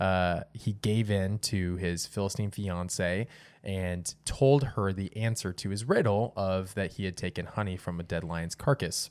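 A man with a plain, everyday voice. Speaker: podcast host. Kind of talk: casual chat. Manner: joking, teasing.

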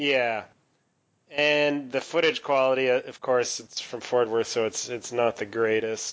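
A man at medium pitch, a plain, everyday voice, fairly slow and with fairly even intonation. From Canada. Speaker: podcast co-host. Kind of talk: casual banter and wrestling recap, podcast discussion. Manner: conversational, jokey, self-deprecating.

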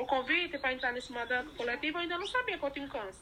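In a raised, projected voice, a woman speaks high and bright with a sharp tone and lively intonation. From Bahia, Brazil (Irecê region). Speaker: recycler and housing activist. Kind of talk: interview.

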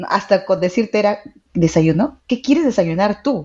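A woman with a medium-pitched, plain, everyday voice, lively intonation and a moderate pace. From Peru, Trujillo. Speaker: life coach. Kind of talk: casual chat.

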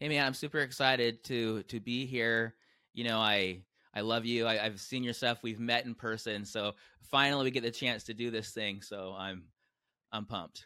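A man speaks in a normal speaking voice with a General American accent, medium in pitch. His pace is moderate and his intonation fairly even. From US West Coast, San Diego. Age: 40s. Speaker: entrepreneur and author. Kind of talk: casual interview.

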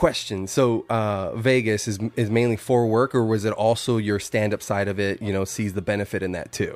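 A man's fairly low voice with an American accent, a normal speaking voice, at a moderate pace with fairly even intonation and hardly any pauses. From Arizona, Yuma. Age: 30s. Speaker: podcast host. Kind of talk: casual chat.

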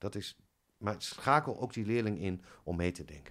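A man talks at a fairly slow pace. His pitch varies in an ordinary way. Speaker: head of music teacher training. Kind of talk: casual interview. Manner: soft-spoken.

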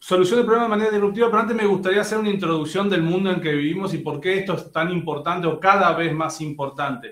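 Talking at a very fast pace with hardly any pauses, a man with an Argentine accent uses a high pitch and ordinary pitch variation. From Argentina. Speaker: business executive and speaker. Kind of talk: lecture.

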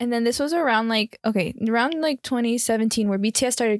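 With an American accent and an unremarkable speaking voice, a woman talks at a fairly quick pace with ordinary pitch variation, in a very clean recording with a silent background and a dry, close sound with no echo. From Miami, Florida. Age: 20s. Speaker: podcast co-host. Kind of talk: casual chat.

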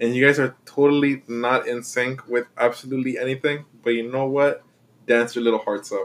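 A man speaks in a medium pitch with a Spanish accent. His intonation is monotone and flat, and his pace is moderate. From Mexico. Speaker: podcast co-host. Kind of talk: casual chat.

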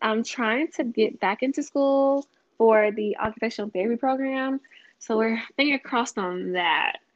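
Woman with a Louisiana accent, fairly high pitch, ordinary pitch variation, moderate pace. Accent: Southern US (Louisiana). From Louisiana (Vidalia). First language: American Sign Language. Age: 20s. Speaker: small business founder. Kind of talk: casual interview.

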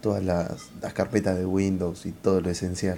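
A man speaks with a Rioplatense accent. He keeps a moderate pace. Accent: Argentine Rioplatense Spanish. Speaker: podcast co-host. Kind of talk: casual chat.

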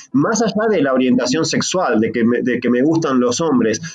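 The speaker has a Rioplatense accent and very wide pitch swings. Music plays in the background. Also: man. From Buenos Aires province, Argentina. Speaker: podcast guest. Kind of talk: casual chat.

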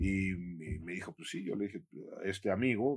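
Lively intonation colors a plain, everyday voice at a moderate pace. The recording is very clean, with a silent background. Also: man. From Mexico City. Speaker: visual artist and art professor. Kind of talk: interview.

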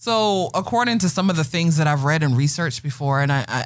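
A woman speaks with a very deep, low pitch and an American accent, her voice somewhat breathy. Her pitch swings very widely. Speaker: podcast host. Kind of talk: casual chat.

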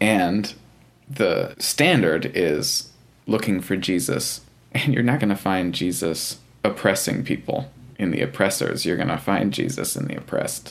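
Here is a man with an unremarkable speaking voice and a fairly low pitch. His intonation is lively. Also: fairly slow pace. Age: 20s. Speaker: churchgoer interviewee. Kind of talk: interview.

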